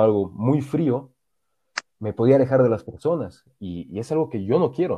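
A man of medium pitch speaks at a moderate pace. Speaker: podcast co-host. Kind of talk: casual chat. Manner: halting, repeats words.

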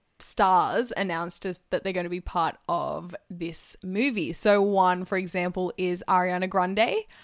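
A woman with an Australian accent speaks at a fairly slow pace and medium pitch, with fairly even intonation, in a very clean recording with a silent background. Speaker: podcast co-host. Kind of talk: casual chat.

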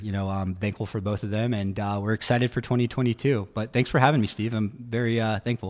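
With an American accent, a man talks at a fairly quick pace in a fairly low pitch. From Virginia, Roanoke. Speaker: digital marketing agency founder. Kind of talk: radio interview. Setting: radio studio. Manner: energetic.

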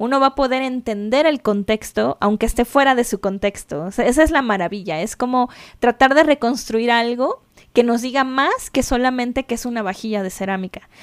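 This woman has a high pitch, ordinary pitch variation and a moderate pace. The recording is very clean with a silent background, and the sound is dry and close with no echo. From Mexico City. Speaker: podcast co-host, conservator. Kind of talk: casual chat.

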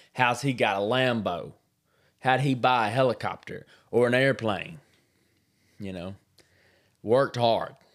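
With an American accent, the speaker goes at a fairly slow pace, leaving long, frequent pauses and swinging widely in loudness. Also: man, medium pitch for a man. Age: 30s. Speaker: podcast host. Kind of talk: casual monologue. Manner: animated; halting.

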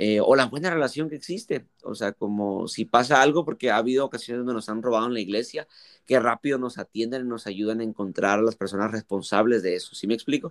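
In a very clean recording with a silent background and a dry, close sound with no echo, a man talks very fast at medium pitch, with ordinary pitch variation and hardly any pauses. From Mexico. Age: 20s. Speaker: youth pastor. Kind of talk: casual interview.

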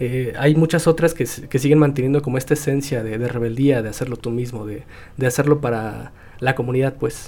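A man talks with hardly any pauses and a dark, mellow tone. His intonation stays fairly even. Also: medium pitch for a man, moderate pace. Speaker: podcast host. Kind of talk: casual chat.

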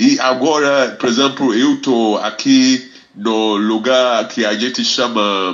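This man talks at a very slow pace. His pitch is medium and his intonation fairly even. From Ghana. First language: Fante / English (speaking Portuguese). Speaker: reggae ambassador and music teacher. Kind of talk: radio interview. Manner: halting.

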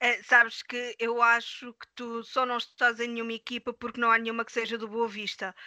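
A woman with a fairly high pitch and a bright, sharp tone speaks at a moderate pace with hardly any pauses, monotone, flat intonation and big swings in loudness, in a dry, close sound with no echo. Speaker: interviewer host of a sim racing league show. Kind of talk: casual interview.

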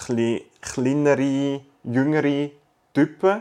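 With fairly even intonation, a man's voice holds a medium pitch. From Zurich, Switzerland. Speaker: podcast co-host. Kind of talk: casual chat.

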